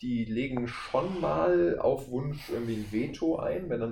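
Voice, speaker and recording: A man talks with lively intonation. Audible room echo surrounds his voice. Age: 20s. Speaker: voice actor. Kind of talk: casual chat.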